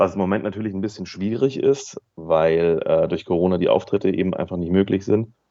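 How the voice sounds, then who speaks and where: The speaker uses an ordinary speaking voice with ordinary pitch variation. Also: man. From Central Hesse, Germany. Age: 30s. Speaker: radio worker and comedian. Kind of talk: casual interview chat. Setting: phone call. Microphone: phone mic.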